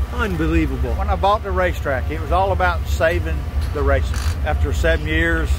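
Delivered at a fairly quick pace with fairly even intonation, the voice sounds dry with no echo, though noticeable background noise is present. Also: man, very deep, low pitch for a man. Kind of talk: interview answer. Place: street. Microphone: phone near.

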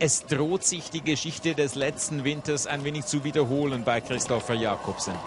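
The talking proceeds fairly slowly as noticeable background noise continues beneath it. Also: man. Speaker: TV sports commentator. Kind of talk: live sports commentary, factual play-by-play. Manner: measured, informative, formal broadcast delivery.

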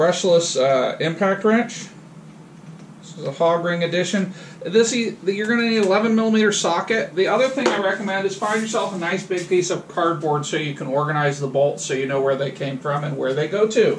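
Light background noise accompanies a man with a high pitch. He speaks at a moderate pace. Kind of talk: casual tutorial vlog. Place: garage. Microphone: camera far.

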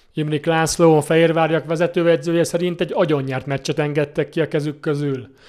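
Talking at a fairly quick pace, a man barely pauses at all. His pitch is fairly high and his intonation monotone and flat. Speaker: sports news reporter. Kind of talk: news reading. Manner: formal.

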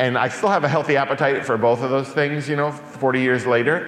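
The voice belongs to a man. The room gives off an audible echo. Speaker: guest. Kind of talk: public talk. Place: church.

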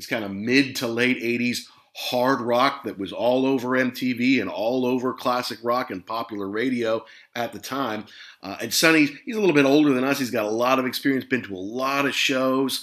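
With an American accent, a man uses a normal speaking voice at medium pitch, keeping a moderate pace and fairly even intonation. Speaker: podcast host. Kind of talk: casual chat.

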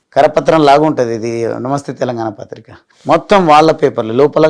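The speaker is a man with a fairly high pitch. His pitch moves in an ordinary way. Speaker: politician. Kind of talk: interview. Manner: animated.

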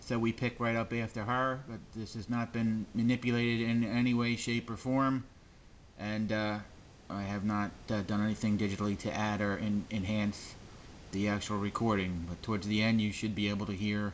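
A man speaks in a fairly low pitch with monotone, flat intonation. Light background noise sits behind him. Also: moderate pace. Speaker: amateur ghost hunter / paranormal researcher. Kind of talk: casual talk to camera, explaining a recording. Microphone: phone near.

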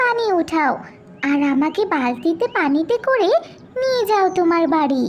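A cartoonish character voice speaks at an extremely high pitch and a fairly slow pace. Background noise is clearly heard. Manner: warm, friendly.

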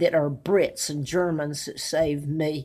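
A woman's very deep, low voice with an American accent, monotone, flat intonation and a fairly slow pace against a quiet background. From United States. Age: 80s+. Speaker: video blogger. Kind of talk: monologue to camera. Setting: self-recorded video at home. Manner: rambling; defiant. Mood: aggrieved, emphatic. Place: home room. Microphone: webcam.

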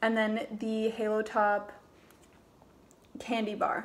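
Background noise can be clearly heard. Over it, a woman talks. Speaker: vlogger. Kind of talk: casual vlog chat. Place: kitchen. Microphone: phone near.

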